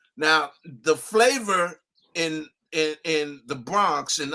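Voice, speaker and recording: A man speaks with a New York accent in a fairly high pitch. His tone is bright and sharp, with ordinary pitch variation. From New York, Brooklyn. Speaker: music producer and DJ. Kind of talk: interview. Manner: animated.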